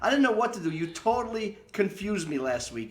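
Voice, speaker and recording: Noticeable background noise sits behind a man whose voice has very wide pitch swings. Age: 60s. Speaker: theater owner and online show host. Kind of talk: show introduction; casual chat. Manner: animated.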